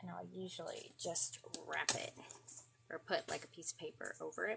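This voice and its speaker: A woman whispers in an American accent. Her pace is moderate. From Florida. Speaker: craft livestreamer. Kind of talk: craft tutorial livestream. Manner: over-enunciates; casual, hesitant with fillers.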